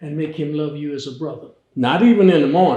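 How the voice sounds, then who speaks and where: With audible room echo, a man speaks at a moderate pace in a dark, mellow tone, his pitch fairly high with ordinary variation. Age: 80s+. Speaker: fraternity elder. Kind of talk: interview.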